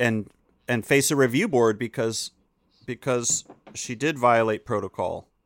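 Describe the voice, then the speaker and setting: An American-accented man speaks fairly slowly at a medium pitch with ordinary pitch variation and long, frequent pauses, his sound dry and close with no echo. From North Carolina, Chapel Hill. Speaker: podcast guest, comedian and podcaster. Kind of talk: casual chat. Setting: video call.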